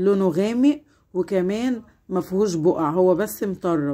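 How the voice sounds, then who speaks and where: Her voice has a dark, mellow tone and sits at a medium pitch for a woman. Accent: Egyptian. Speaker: home cleaning vlogger. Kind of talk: tutorial. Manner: warm, chatty.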